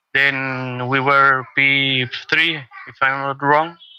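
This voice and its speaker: Speaking at a very slow pace, a man talks in a medium pitch. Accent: Spanish. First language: Spanish. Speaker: sim racing driver. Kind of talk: post-race interview. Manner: halting.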